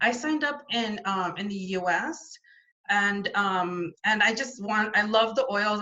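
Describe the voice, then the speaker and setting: With noticeable background noise behind her, a woman talks at a mid-range pitch. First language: not French. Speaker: essential oils business builder. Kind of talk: interview testimony.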